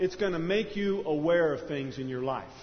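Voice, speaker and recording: Amid audible room echo, a man with a high voice speaks with ordinary pitch variation. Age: 40s. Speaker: pastor. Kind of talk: sermon.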